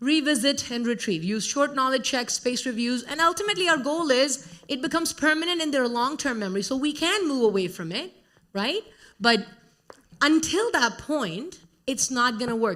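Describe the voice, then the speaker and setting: A woman with an Indian accent, high-pitched with a bright, sharp tone, moderate pace and very wide pitch swings. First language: Hindi. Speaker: conference speaker, educator. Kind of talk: conference talk.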